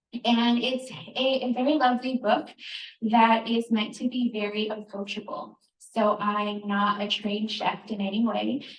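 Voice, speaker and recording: A soft-spoken woman talks at a moderate pace. Her intonation stays fairly even. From Northern New Mexico, Navajo. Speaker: cookbook author. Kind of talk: live cooking demonstration. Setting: store event with audience, handheld mic.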